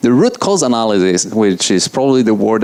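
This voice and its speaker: Very wide pitch swings from a man with an Italian accent, against noticeable background noise. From Italy. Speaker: software engineer giving a conference talk. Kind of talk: conference talk. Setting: stage with audience. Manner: fast; loud.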